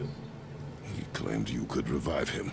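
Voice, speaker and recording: A man's put-on character voice at a fairly slow pace, over loud background noise. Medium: game stream. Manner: terse, commanding.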